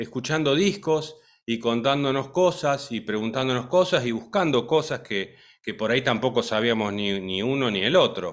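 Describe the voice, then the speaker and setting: With a plain, everyday voice, a man speaks at a moderate pace and medium pitch with lively intonation. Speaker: radio show host, music school co-founder. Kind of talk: casual chat.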